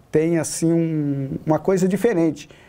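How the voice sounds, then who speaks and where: Fairly even intonation in a man's dark, mellow voice. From Paraná, Brazil (rural, small town); moved to São Paulo state at 16. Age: 40s. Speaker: city councillor; city councillor, interview guest. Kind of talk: interview. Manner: halting, many fillers and repetitions. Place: studio.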